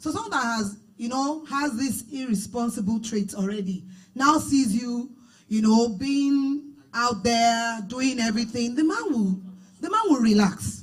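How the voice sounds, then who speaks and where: A woman with a Nigerian accent speaks at a fairly slow pace in a fairly high voice with ordinary pitch variation, and audible room echo surrounds her. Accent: Nigerian (Yoruba) English. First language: Yoruba. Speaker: minister. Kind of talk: marriage teaching panel.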